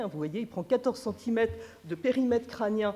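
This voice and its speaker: Her voice shaky, a woman at medium pitch speaks fairly quickly with lively intonation and a dark, mellow tone. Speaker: neuroscience researcher. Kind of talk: conference lecture. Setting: conference with audience. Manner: slightly trembling voice.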